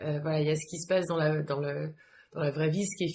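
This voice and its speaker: Talking very fast, a woman keeps her intonation fairly even. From France, with some childhood abroad. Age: 30s. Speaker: yoga teacher. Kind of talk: interview. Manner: hesitant, many fillers.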